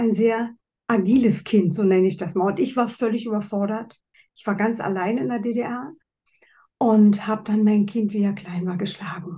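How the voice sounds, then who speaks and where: A woman's fairly high, somewhat breathy voice with a dark, mellow tone, ordinary pitch variation, big swings in loudness, and a moderate pace. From East Germany. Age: 60s. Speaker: author and speaker, former palliative care nurse. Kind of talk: interview.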